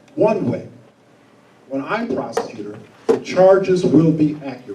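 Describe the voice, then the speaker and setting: A man speaks with very wide pitch swings. Room echo is audible. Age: 60s. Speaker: prosecutor candidate. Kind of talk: candidate forum answer. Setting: stage with live audience. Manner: blunt, straightforward.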